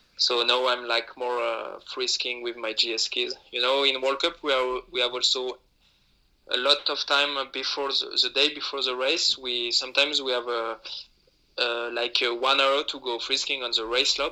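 Bright, sharp tone in a French accent, moderate pace, monotone, flat intonation. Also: man, medium pitch for a man. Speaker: alpine ski racer. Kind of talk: interview. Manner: halting.

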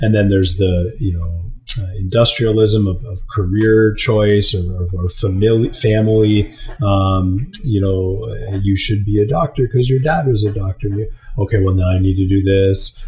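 With a Canadian accent, a man speaks at a moderate pace in a fairly low pitch and fairly even intonation over noticeable background noise. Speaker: podcast co-host and marathon runner. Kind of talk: casual chat. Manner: halting, many fillers and repetitions.

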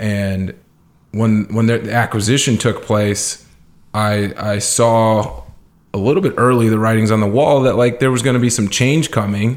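A man speaks at a moderate pace with medium pitch and fairly even intonation. His loudness stays very even in an unremarkable speaking voice. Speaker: entrepreneur. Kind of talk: interview. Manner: casual, filler-heavy.

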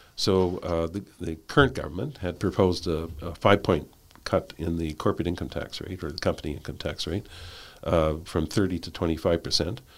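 Very deep and low in pitch, a man with a Canadian accent speaks at a fairly quick pace with ordinary pitch variation on a very clean recording with a silent background. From Canada. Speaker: tax economist, professor. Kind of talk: interview. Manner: halting, many fillers.

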